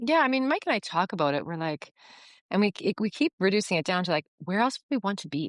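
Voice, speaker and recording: A woman with a plain, everyday voice speaks at a fairly quick pace against a quiet background. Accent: Canadian. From Canada. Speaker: yoga retreat owner. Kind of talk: podcast interview. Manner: casual, filler-heavy.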